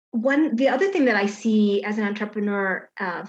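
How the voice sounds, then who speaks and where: Using a plain, everyday voice, a woman speaks in an American accent at a fairly slow pace, her fairly high pitch showing ordinary pitch variation. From Chicago. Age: 50s. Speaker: garden designer. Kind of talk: casual chat.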